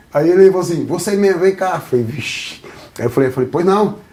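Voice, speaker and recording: Noticeable background noise surrounds a man talking at a very fast pace. His voice is high-pitched, with lively intonation. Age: 50s. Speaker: ex-gang member turned evangelical. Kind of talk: podcast interview, life story testimony. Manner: animated storytelling.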